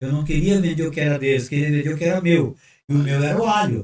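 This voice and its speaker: A man talks with a fairly high pitch and a somewhat breathy sound. His pitch varies in an ordinary way. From Brazil, Sorocaba (São Paulo state). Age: 70s. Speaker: pastor. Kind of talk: casual chat.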